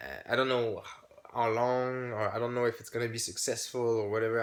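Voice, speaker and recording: A man with a French accent speaks at a medium pitch and a fairly quick pace amid noticeable background noise. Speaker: YouTuber, hobby channel owner. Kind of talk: casual vlog announcement. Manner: halting, many fillers and restarts.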